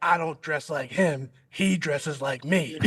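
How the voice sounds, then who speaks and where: Putting on a raspy character voice, a man talks at a moderate pace in a fairly high pitch. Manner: a little less aggressive.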